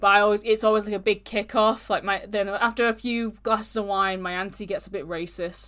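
Fairly quick and with hardly any pauses, a woman talks at a medium pitch in a bright, sharp tone, recorded very cleanly with a silent background. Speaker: true crime podcast host. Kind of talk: casual true crime storytelling. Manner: casual, animated.

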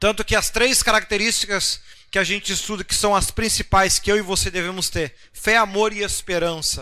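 In a very clean recording with a silent background, a man uses a raised, projected voice, high-pitched with a bright, sharp tone. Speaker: pastor. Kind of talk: bible study sermon. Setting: livestream broadcast. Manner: conversational, rhetorical asides.

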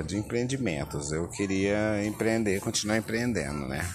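A man's very deep, low pitch with lively intonation at a moderate pace, over noticeable background noise. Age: 30s. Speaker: podcaster. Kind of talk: casual monologue. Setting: outdoors at the beach. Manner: laid-back, filler-heavy.

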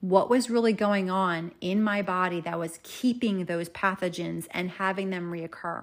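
A woman with an ordinary speaking voice, medium pitch, ordinary pitch variation and a fairly slow pace. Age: 40s. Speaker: natural health practitioner and podcast host. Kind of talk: personal story monologue.

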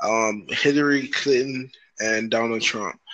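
A normal speaking voice with an American accent, fairly slow and fairly even in intonation. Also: man. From Broward County, Florida. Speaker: podcast host. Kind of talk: casual chat.

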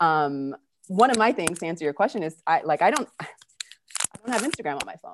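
A woman with a Californian accent speaks at a fairly quick pace in an animated, upbeat tone. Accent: American, California. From California, US. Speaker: online event host. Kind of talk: live virtual chat hosting. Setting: video call with live audience.

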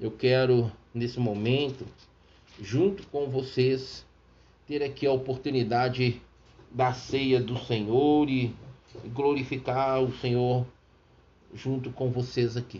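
Amid audible room echo, a somewhat breathy man speaks at a very slow pace with fairly even intonation and long, frequent pauses. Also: medium pitch for a man. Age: 50s. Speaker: radio preacher. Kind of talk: sermon with personal testimony. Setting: radio studio.

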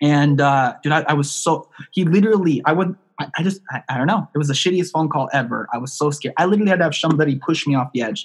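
Somewhat breathy, this voice moves at a very fast pace with ordinary pitch variation. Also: man, fairly high pitch for a man. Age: 20s. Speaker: online marketing entrepreneur. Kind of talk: podcast interview. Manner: animated.

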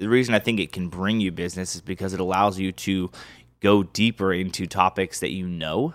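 A man speaks in a plain, everyday voice, recorded very cleanly with a silent background and a dry, close sound with no echo. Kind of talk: casual chat. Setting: studio.

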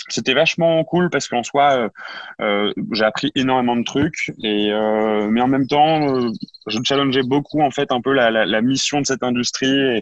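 In a dry, close sound with no echo, a man with a plain, everyday voice talks fairly slowly at medium pitch with ordinary pitch variation. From northern France, Lille. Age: 20s. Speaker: startup co-founder. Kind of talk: interview.

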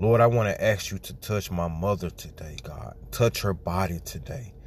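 Speaking at a fairly slow pace, a man with a very deep, low pitch and a somewhat breathy voice uses lively intonation. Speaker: person praying. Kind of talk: fervent spoken prayer with scripture reading. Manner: fervent, pleading, repetitive, emphatic; rhythmic, punctuated by praise exclamations.

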